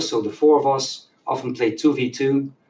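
The speaker is a man with a Dutch accent. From Netherlands. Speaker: youth soccer coach. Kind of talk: casual chat.

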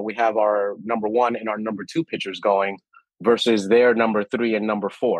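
This man has an unremarkable speaking voice with an American accent, medium pitch, fairly even intonation and a moderate pace. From New York City, Washington Heights. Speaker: wellness company CEO. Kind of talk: interview conversation.

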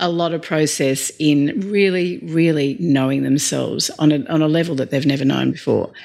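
A woman in an Australian accent, very deep and low in pitch, at a moderate pace with fairly even intonation. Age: 40s. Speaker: leadership coach. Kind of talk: interview conversation.

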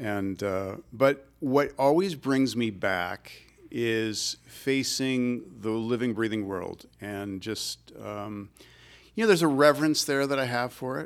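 On a very clean recording with a silent background, a man with an American accent speaks very slowly at medium pitch with ordinary pitch variation. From Michigan, US Midwest. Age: 60s. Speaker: ecologist and naturalist. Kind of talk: interview conversation.

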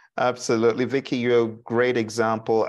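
Against a quiet background, a man talks at a fairly quick pace. His tone is warm and animated, at a medium pitch. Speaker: PMP trainer and workshop host. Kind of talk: live online workshop presentation. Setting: live video call with YouTube audience. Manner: warm, welcoming, animated.

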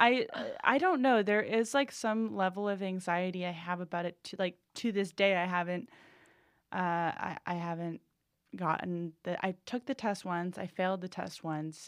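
A woman with an American accent speaks in an ordinary speaking voice at a medium pitch and a moderate pace. The recording is very clean with a silent background, and her pitch variation is ordinary. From Boston area, New England. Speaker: comedian and writer. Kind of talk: casual chat. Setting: studio.

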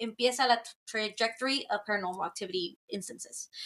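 A woman speaks at a fairly slow pace with a fairly high pitch. Her tone is bright and sharp, with ordinary pitch variation. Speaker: podcast guest. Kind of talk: casual chat. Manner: code-switching Spanish and English.

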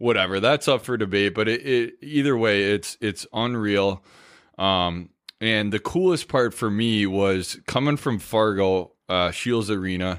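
A man with an American accent and a plain, everyday voice speaks at a fairly slow pace with ordinary pitch variation and very even loudness on a very clean recording with a silent background. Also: fairly low pitch for a man. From Minnesota, Stillwater. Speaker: former hockey player. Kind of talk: casual chat.

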